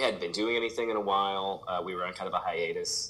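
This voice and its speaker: A man with an American accent, against noticeable background noise. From St. Louis, Missouri, US Midwest. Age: 40s. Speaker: pop punk musician. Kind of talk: casual interview chat.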